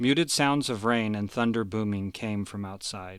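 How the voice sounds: A natural reading voice carries ordinary pitch variation throughout.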